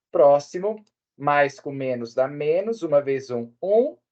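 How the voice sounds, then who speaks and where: Very slow in pace, a man speaks in a fairly high voice. His intonation is lively. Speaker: math teacher. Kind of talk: lecture.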